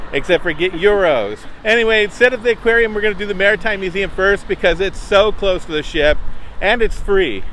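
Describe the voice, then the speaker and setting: A man with a high-pitched voice at a fairly quick pace, ordinary pitch variation, and noticeable background noise. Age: old. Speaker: travel vlogger. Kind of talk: casual chat. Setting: outdoors.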